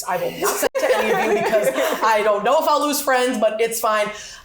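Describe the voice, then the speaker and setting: Amid noticeable background noise and audible room echo, a woman talks in an animated tone with lively intonation. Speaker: teacher. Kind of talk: casual chat.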